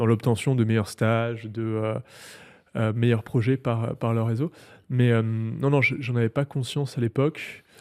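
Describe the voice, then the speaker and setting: In a very clean recording with a silent background, a man speaks at a medium pitch and a fairly slow pace with fairly even intonation. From southern France, Provence (near Marseille). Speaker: tech entrepreneur. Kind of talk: interview. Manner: hesitant, many fillers.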